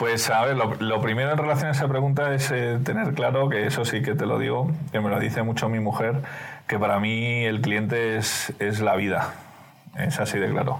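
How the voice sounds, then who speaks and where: A man with a Spanish accent at medium pitch and moderate pace, with ordinary pitch variation and very even loudness, plus audible room echo and noticeable background noise. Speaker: business executive. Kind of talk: interview.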